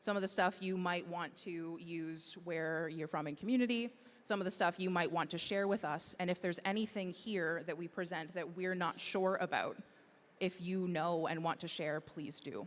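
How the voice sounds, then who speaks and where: An unremarkable speaking voice from a woman, fairly low in pitch, at a moderate pace with fairly even intonation. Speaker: conference presenter. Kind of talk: presentation.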